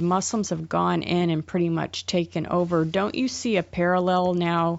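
In a normal speaking voice, a woman talks at a fairly slow pace and a fairly low pitch. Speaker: radio host. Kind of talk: radio interview.

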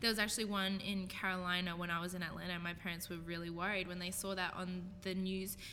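A woman with an Australian accent talks at a very fast pace with hardly any pauses. Her medium-pitched voice has a bright, sharp tone and flat, monotone intonation. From Australia, Brisbane. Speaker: professional women's football quarterback. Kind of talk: casual chat.

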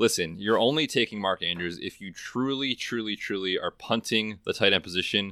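A man's fairly low voice with a bright, sharp tone and ordinary pitch variation, moving at a fairly quick pace with hardly any pauses, on a very clean, silent recording with dry, close sound and no echo. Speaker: fantasy football podcast host. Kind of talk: casual chat.

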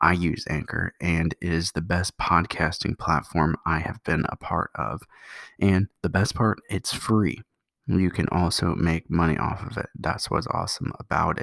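A very deep, low male voice at a fairly slow pace, with ordinary pitch variation, dry and close with no echo, in a very clean recording against a silent background. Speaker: podcast host. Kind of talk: scripted narration with sponsor read. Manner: slow, deliberate, low-key, building dread.

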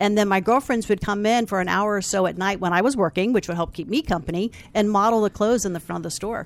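Here is a woman with an ordinary speaking voice. Her medium pitch shows ordinary variation. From Falls Church, Virginia. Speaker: marketing company founder. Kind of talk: interview.

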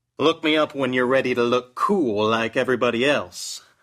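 A man does a put-on character voice at a medium pitch. He talks at a moderate pace.

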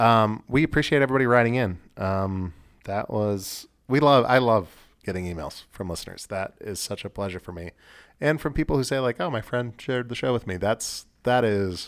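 Over a silent background in a very clean recording, a man with an unremarkable speaking voice talks at a moderate pace and medium pitch with lively intonation. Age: 30s. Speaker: disc golf podcast host, amateur player. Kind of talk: casual chat.

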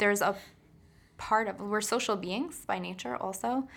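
Pitch variation here is ordinary. It comes from an ordinary speaking voice. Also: woman. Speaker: psychotherapist. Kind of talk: interview.

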